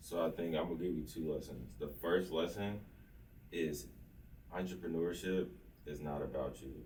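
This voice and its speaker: In an American accent, a man with a very deep, low pitch and vocal fry speaks with ordinary pitch variation and long, frequent pauses, in a room with audible echo. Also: moderate pace. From Oklahoma, Lawton. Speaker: entrepreneur. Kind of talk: interview.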